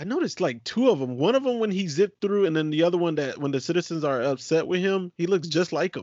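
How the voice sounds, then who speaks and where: This man speaks at a very fast pace with hardly any pauses, a high pitch, lively intonation and an animated tone. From Puerto Rico. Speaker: podcast host. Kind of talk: casual chat. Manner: animated, laughing often.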